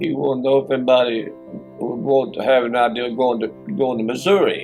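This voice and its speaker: Very fast delivery in a Kentucky accent, with music in the background. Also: man, medium pitch for a man, ordinary pitch variation. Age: 80s+. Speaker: retired tree company foreman. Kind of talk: interview answer.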